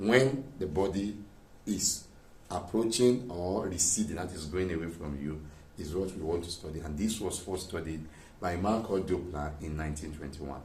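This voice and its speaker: Audible room echo surrounds a man with a very deep, low, somewhat breathy voice. He speaks at a moderate pace with ordinary pitch variation. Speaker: physics teacher. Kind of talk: lecture. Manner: soft-spoken.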